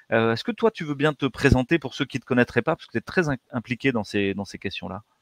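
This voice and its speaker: A plain, everyday voice from a man at medium pitch, fairly quick in pace with lively intonation, dry and close with no echo on a very clean recording against a silent background. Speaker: doctor and interview host. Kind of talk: interview.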